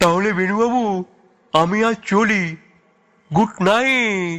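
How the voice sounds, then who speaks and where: A put-on character voice unfolds at a very slow pace with ordinary pitch variation. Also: man, high pitch for a man. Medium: audio drama. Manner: chatty, old-fashioned courtesy.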